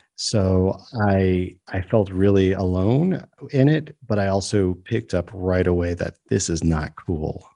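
Against a quiet background, a man with a New York accent speaks at a fairly slow pace, his very deep, low voice dark and mellow in tone, with lively intonation. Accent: New York area American. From New York State, US. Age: 50s. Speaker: comedian and storyteller. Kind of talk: interview.

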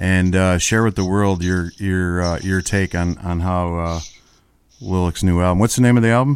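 A man's fairly low voice with an American accent, an ordinary speaking voice at a moderate pace, fairly even intonation, very clean recording with a silent background. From Buffalo, New York. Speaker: radio DJ and former tour manager. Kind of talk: casual interview chat.

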